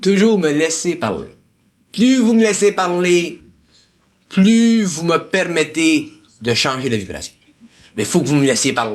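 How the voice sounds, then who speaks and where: Audible room echo surrounds a man speaking at a high pitch with very wide pitch swings. He goes fairly slowly, with long, frequent pauses. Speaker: esoteric lecturer. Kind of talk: lecture to a group.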